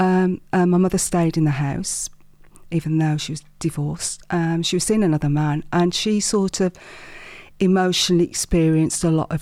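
Recorded very cleanly against a silent background, a woman speaks at a moderate pace. Her voice is fairly low, dark and mellow, with fairly even intonation. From Wolverhampton, West Midlands. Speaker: business owner and mindset coach. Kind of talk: interview, personal storytelling.

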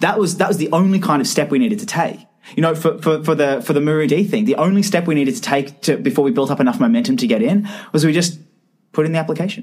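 A man with an Australian accent talks at a very fast pace in a high pitch. His tone is animated and his intonation lively. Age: 20s. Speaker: medtech startup founder. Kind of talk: podcast interview.

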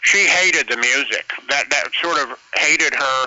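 There's noticeable background noise as a man speaks. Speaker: caller. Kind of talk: casual chat. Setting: phone call.

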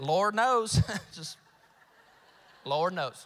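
A man's drawling, high-pitched, put-on character voice in a South Carolina accent. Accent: Southern US, rural South Carolina. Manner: thick drawl.

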